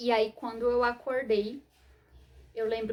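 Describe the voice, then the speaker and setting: A soft-spoken woman talks here. Her voice is somewhat breathy and fairly high in pitch. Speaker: vlogger sharing personal medical story. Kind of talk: personal testimony to camera. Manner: hesitant, many fillers.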